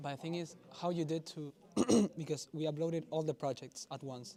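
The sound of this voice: The voice has a dark, mellow tone, a moderate pace and fairly even intonation. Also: man, fairly high pitch for a man.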